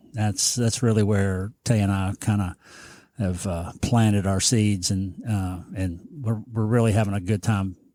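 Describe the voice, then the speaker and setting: Heard in a very clean recording with a silent background, a man with a Southern US accent speaks slowly, fairly low and dark, mellow in tone, with fairly even intonation. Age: 60s. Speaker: business owner and former TV personality. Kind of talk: casual chat. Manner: halting, many fillers and repeats.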